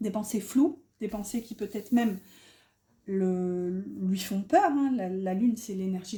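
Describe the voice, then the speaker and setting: Dark, mellow and somewhat breathy, the voice has a northern French accent. It moves at a fairly slow pace with ordinary pitch variation. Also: woman. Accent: northern French (ch'ti) accent showing. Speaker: tarot card reader. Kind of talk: tarot reading. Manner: hesitant, many fillers.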